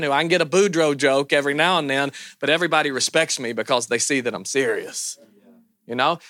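A man talks at a very fast pace in a bright, sharp tone. The sound is dry and close, with no echo. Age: 30s. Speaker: pastor. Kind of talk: conference talk. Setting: stage with audience. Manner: animated.

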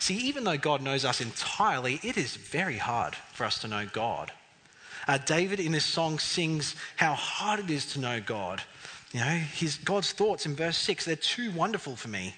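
Over noticeable background noise, a man's fairly high voice swings very widely in pitch. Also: moderate pace. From Bedford, England. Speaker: preacher. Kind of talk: sermon. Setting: church. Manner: friendly, light-humoured.

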